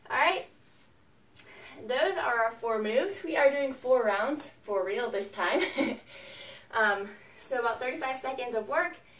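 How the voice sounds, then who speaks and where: In a room with audible echo, a woman with a high voice speaks with long, frequent pauses. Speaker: fitness instructor. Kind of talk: workout instruction. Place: home room. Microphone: camera far.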